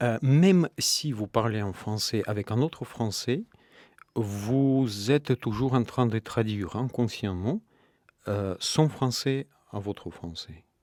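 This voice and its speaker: At a very slow pace, a man talks at a medium pitch with ordinary pitch variation. The recording is very clean with a silent background, dry and close with no echo. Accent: Russian. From Russia. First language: Russian (speaking French). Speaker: novelist. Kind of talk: radio interview. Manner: hesitant, many fillers.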